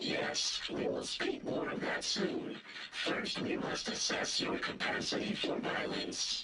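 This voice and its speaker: Over loud background noise with a slight echo, a man uses an extremely high put-on character voice at a fairly slow pace. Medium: video game. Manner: formal, measured, speaks as "we".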